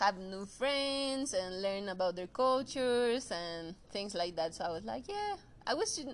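In a Mexican accent, a woman talks at a fairly slow pace with lively intonation and a medium pitch. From Mexico. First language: Spanish. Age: 30s. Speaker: photographer. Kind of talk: casual chat. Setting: video call. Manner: halting.

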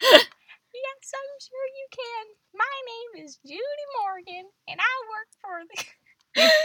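A put-on character voice moves at a very slow pace with lively intonation. Its loudness swings widely. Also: woman, extremely high pitch for a woman.

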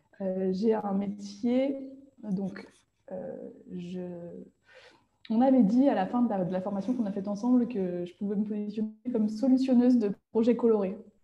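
In a fairly high pitch, a woman talks at a moderate pace with a dark, mellow tone and a somewhat breathy quality. Her intonation stays fairly even, broken by long, frequent pauses. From France, Nantes region countryside. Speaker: designer. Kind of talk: interview.

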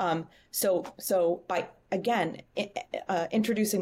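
With an American accent, a woman has a normal speaking voice at a medium pitch with ordinary pitch variation. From Boston. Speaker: talent acquisition leader. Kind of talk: interview. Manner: many filler words.

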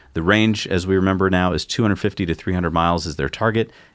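On a very clean recording with a silent background, a man talks very fast in a very deep, low voice. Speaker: tech news show co-host. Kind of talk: casual news chat.

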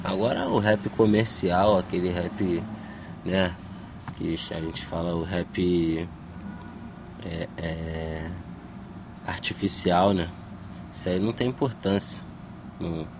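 Amid noticeable background noise, a man with a very deep, low pitch speaks at a very slow pace with fairly even intonation and long, frequent pauses. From Brazil, Baixada Fluminense (Duque de Caxias, Rio de Janeiro). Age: 20s. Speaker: rapper. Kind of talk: interview. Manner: casual slangy.

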